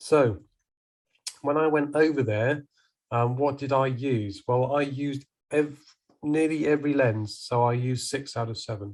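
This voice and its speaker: The voice carries a southern English accent with fairly even intonation. Long, frequent pauses break up the speech. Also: man, fairly high pitch for a man, moderate pace. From southern England (Salisbury, Wiltshire). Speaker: professional photographer. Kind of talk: presentation to a camera club. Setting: video call.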